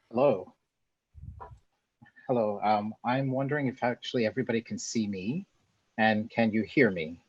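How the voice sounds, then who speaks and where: Moderate pace with long, frequent pauses and ordinary pitch variation. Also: man, medium pitch for a man, dry, close sound with no echo. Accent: American. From USA. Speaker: academic researcher, session moderator. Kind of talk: moderating a webinar. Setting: video call webinar.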